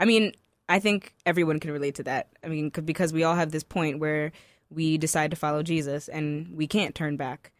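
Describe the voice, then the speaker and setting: A woman's very deep, low pitch at a fairly quick pace, with fairly even intonation and a dry, close sound with no echo. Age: young. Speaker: spoken word poet. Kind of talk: spoken word poetry performance; interview. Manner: articulate.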